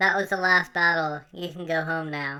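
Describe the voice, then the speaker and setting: A cartoonish character voice sits at a middle pitch. The recording is very clean, with a silent background. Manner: grumpy, unenthusiastic.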